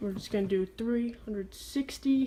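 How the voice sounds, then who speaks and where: Fairly slow pace, somewhat breathy delivery and ordinary pitch variation. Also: woman. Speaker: sneaker reviewer. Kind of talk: product review. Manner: stutters at times.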